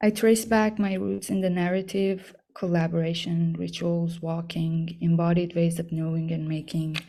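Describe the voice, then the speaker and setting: A woman with an Iranian accent speaks at a moderate pace, barely pausing. Her fairly low voice has a dark, mellow tone and ordinary pitch variation. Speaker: artist. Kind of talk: artist talk. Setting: talk to an audience. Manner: hesitant, many fillers.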